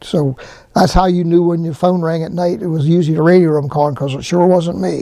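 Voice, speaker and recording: A man with a Central Pennsylvania accent talks at a very fast pace in a high, dark and mellow voice, his intonation fairly even. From Harrisburg, Pennsylvania. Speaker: retired fire department administrative assistant. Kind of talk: interview answer.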